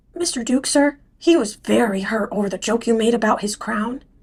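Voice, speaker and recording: A woman puts on a raspy character voice in a fairly high pitch. She keeps to a moderate pace. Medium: audio drama. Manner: polite, hesitant.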